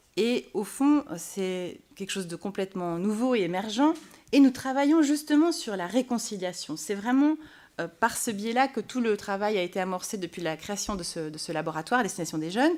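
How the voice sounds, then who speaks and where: A woman's medium-pitched voice at a moderate pace, with very wide pitch swings and big swings in loudness. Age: 30s. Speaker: pastor. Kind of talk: panel debate. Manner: halting.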